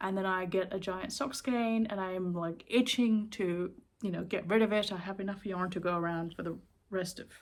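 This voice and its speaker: In a very clean recording with a silent background, a woman at a medium pitch speaks at a moderate pace with ordinary pitch variation and a slight Sri Lankan accent. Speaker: knitting vlogger. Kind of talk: casual chat. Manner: casual, with many fillers.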